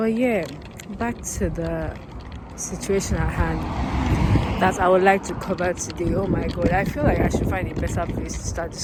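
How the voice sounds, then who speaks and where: A woman talks at a moderate pace over noticeable background noise, with audible echo from the room. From Nigeria (Lagos). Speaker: vlogger. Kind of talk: casual vlog rant. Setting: outdoors, walking by a road. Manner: casual, rambling with many fillers.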